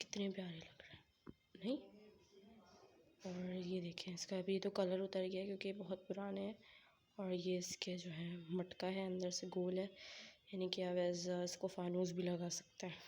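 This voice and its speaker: A woman's somewhat breathy, medium-pitched voice, monotone and flat, at a fairly slow pace with long, frequent pauses. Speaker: vlogger. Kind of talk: casual show-and-tell vlog.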